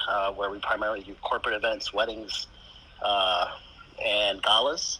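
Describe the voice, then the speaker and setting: Noticeable background noise accompanies a man with an American accent speaking at a moderate pace. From New York. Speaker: digital marketing expert. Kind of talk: casual chat.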